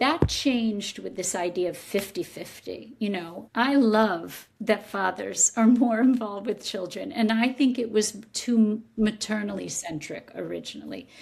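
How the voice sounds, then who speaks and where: Vocal fry marks a woman's fairly high-pitched voice, which moves at a fairly slow pace with ordinary pitch variation. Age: 60s. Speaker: psychotherapist and author. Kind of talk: interview.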